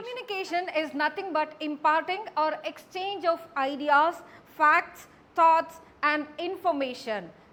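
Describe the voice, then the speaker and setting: This woman has an extremely high pitch and lively intonation, with a Karnataka accent. Her pace is fairly slow. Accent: Indian English (Kannada). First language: Kannada. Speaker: college English lecturer. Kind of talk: lecture.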